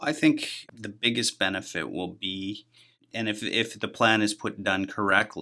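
A man's bright, sharp voice with a Canadian Prairies accent at a moderate pace, on a very clean recording with a silent background. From Manitoba, Canada (outside Winnipeg). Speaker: business association head. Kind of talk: interview.

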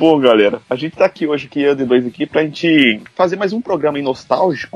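A man at a fairly high pitch with ordinary pitch variation and a moderate pace, against noticeable background noise. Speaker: podcast host. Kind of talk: casual chat.

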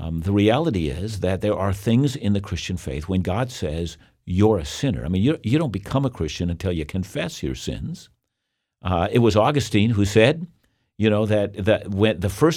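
In a very clean recording with a silent background, a man with a plain, everyday voice and a fairly low pitch speaks at a moderate pace with lively intonation. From Canada. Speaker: Bible teacher. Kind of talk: interview.

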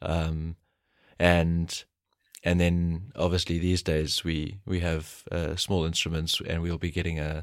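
On a very clean recording with a silent background, a man with a very deep, low voice speaks fairly slowly in a monotone, flat way. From South Africa, Pietermaritzburg KwaZulu-Natal. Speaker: astronomer. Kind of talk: interview. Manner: halting, many fillers and repetitions.

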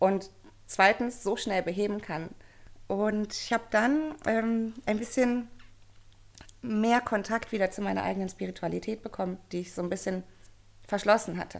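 A woman at medium pitch and moderate pace, ordinary pitch variation, long, frequent pauses, on a very clean recording with a silent background. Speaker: coach for mothers. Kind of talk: interview.

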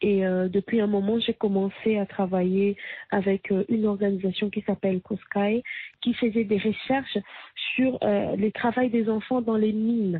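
A woman speaks at a fairly slow pace in a medium pitch, with monotone, flat intonation and very even loudness. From DR Congo. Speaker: singer-songwriter and activist. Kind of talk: interview.

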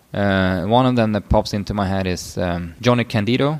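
A man with a Swedish accent speaks in a fairly low voice with ordinary pitch variation. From northern Sweden. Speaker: physiotherapist and powerlifting coach. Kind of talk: casual chat.

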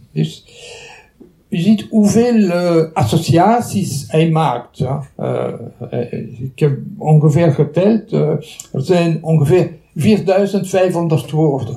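Speaking very slowly with long, frequent pauses, a man with a Belgian French accent uses a fairly high pitch and ordinary pitch variation, with noticeable background noise behind him. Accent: Belgian French accent in Dutch. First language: French (speaking Dutch). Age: 70s. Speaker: retired psychology professor. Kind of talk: lecture. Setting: lecture hall with audience. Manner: halting.

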